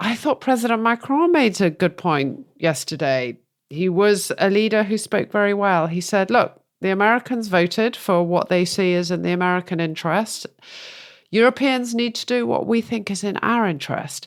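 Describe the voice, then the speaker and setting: A woman with a strong British accent and lively intonation on a very clean recording with a silent background. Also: medium pitch for a woman, moderate pace. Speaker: podcast co-host. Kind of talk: casual political discussion.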